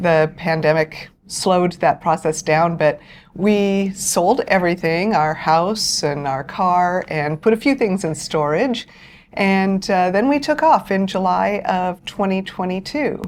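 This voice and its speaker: A woman with a normal speaking voice and medium pitch talks at a fairly slow pace with lively intonation. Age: 60s. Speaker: full-time traveler. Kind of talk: interview. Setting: on a cruise ship.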